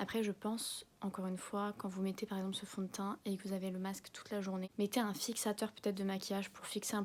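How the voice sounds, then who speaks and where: Soft-spoken woman at a very fast pace, medium in pitch, with monotone, flat intonation. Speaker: beauty vlogger. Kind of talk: product review vlog. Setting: at home. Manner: casual, filler-heavy.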